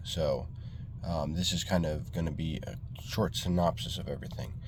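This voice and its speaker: Audible room echo surrounds a man with a very deep, low pitch. He speaks at a fairly slow pace with ordinary pitch variation. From New York State, Hudson Valley. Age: 20s. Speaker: vlogger, landscaping business owner. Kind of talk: casual vlog monologue. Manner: halting, many fillers.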